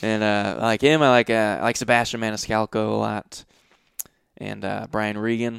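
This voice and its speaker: Moderately paced and fairly even in intonation, a man with a plain, everyday voice speaks at a fairly low pitch. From Massachusetts, Providence area. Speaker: comedian and actor. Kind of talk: casual chat.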